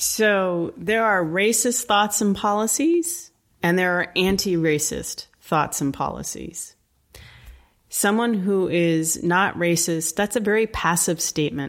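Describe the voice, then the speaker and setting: A woman's plain, everyday voice at a medium pitch, fairly slow pace, ordinary pitch variation and very even loudness. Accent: American. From US Northeast, Connecticut. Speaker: anti-racism educator. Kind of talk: interview. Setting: video call.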